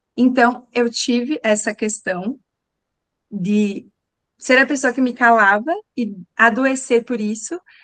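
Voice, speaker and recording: Speaking very slowly with long, frequent pauses, a woman uses a high pitch over a quiet background. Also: ordinary pitch variation. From southern Brazil. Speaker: communication coach. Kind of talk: live online talk.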